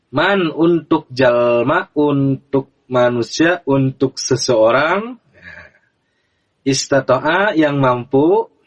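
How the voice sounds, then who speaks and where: Talking very slowly, a man with a fairly high pitch keeps his loudness very even and his pitch variation ordinary, in a dry, close sound with no echo. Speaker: religious teacher. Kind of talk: religious lesson to camera. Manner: slow, explanatory.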